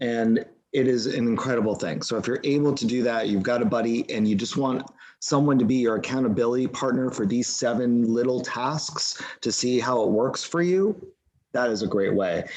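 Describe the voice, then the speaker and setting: A man speaks in a normal speaking voice at a moderate pace. His loudness stays very even, with ordinary pitch variation. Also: medium pitch for a man. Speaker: mindfulness class leader. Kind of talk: live online class.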